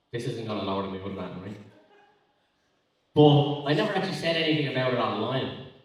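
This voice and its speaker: This man speaks in an Irish accent at medium pitch. His intonation is lively and his pace moderate. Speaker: spoken word poet. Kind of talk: live stand-up style banter with audience. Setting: live festival stage. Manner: rambling, casual.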